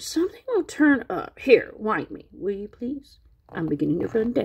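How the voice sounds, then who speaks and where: Putting on a growling character voice at a high pitch, a woman talks at a moderate pace with big swings in loudness. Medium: read story. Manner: steady, reassuring.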